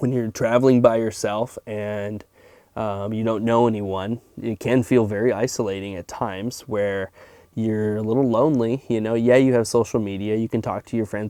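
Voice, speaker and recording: A man speaks at a moderate pace with a fairly low pitch and monotone, flat intonation. The sound is dry and close, with no echo. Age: 30s. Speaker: car salesman and van traveler. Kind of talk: podcast interview. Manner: halting.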